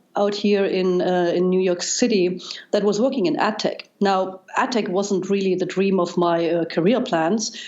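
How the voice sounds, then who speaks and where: A woman speaks with a German accent. Her pitch sits at a medium level. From East Germany. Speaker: data scientist. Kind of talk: interview. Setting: podcast.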